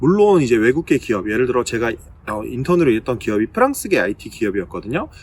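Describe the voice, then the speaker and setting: A man's medium-pitched voice at a very fast pace, full of very wide pitch swings. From Korea. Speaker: recruiter and video blogger. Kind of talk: casual vlog talk. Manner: hesitant with frequent fillers.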